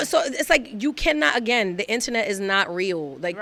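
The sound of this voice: With a bright, sharp tone, a woman speaks at a moderate pace in a fairly high voice that swings very widely in pitch. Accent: Brooklyn.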